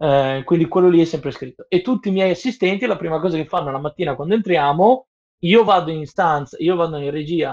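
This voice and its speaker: Here a man speaks in a plain, everyday voice with a fairly high pitch. He keeps a moderate pace and ordinary pitch variation. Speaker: professional sound engineer. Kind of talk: casual chat. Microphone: Bluetooth earphones, sounding quiet.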